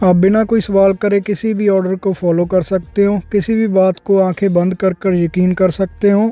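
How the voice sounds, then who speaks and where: With music behind him, a man speaks at a high pitch in a Punjabi accent, his intonation monotone and flat, with hardly any pauses. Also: moderate pace. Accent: Punjabi-accented Hindi. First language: Punjabi (speaking Hindi). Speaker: YouTube commentator. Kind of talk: opinion commentary. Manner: sarcastic.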